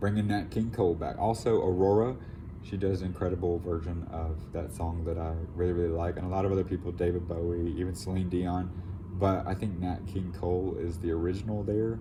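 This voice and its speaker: A man with a very deep, low voice speaks at a fairly quick pace in a dark, mellow tone. He sounds somewhat breathy, and the room echo is audible. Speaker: tarot reader. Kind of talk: tarot reading to camera. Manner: casual, rambling with fillers.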